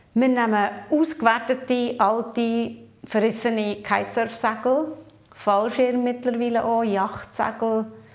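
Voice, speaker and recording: A woman's fairly high voice at a very slow pace, with very even loudness and fairly even intonation, plus noticeable background noise and audible room echo. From Papua New Guinea, then Switzerland. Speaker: social entrepreneur and conference speaker. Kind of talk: interview. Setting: video interview at a conference.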